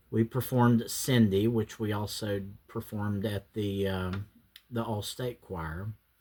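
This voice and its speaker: A man with an American accent talks at a fairly slow pace. His fairly low voice keeps a fairly even intonation. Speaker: YouTuber. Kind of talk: casual reminiscing monologue. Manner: halting, many fillers.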